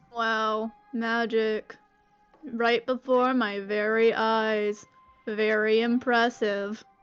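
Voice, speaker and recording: Putting on a robotic character voice, a woman speaks at a very slow pace with a fairly high pitch and monotone, flat intonation as faint music plays in the background. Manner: sarcastic, flat.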